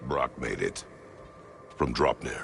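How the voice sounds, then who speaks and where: A man's put-on character voice over clear background noise. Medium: video game. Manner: terse, formal, no contractions.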